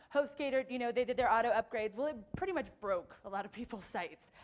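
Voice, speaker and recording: The speaker talks with an American accent in an animated tone. The pace is fairly quick, with very wide pitch swings. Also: woman. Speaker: conference speaker, web developer. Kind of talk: conference talk. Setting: stage with audience. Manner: fast.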